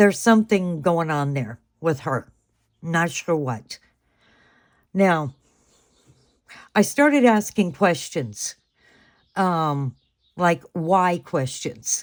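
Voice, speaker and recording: A woman's fairly low voice with lively intonation, a very slow pace, and long, frequent pauses, in a very clean recording with a silent background. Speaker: tarot reader. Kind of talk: tarot reading monologue. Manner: hesitant, many fillers.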